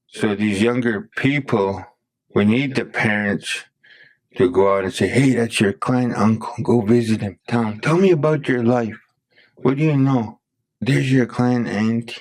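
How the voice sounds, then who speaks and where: The speaker is a man with an unremarkable speaking voice and a medium pitch. He goes at a fairly slow pace with ordinary pitch variation. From Blackfoot community, Alberta, Canada. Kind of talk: podcast interview answer.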